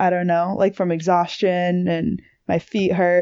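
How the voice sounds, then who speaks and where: A woman with an American accent speaks in a normal speaking voice at a medium pitch. Her pace is fairly slow. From Massachusetts. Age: 20s. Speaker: hiker and YouTuber. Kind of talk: casual chat.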